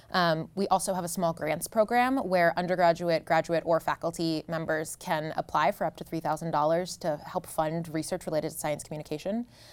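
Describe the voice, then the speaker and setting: A woman with an American accent and an ordinary speaking voice talks at a fairly low pitch and a fairly quick pace, with fairly even intonation and hardly any pauses. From US Northeast, New Jersey. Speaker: professor. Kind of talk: interview. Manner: frequent um fillers.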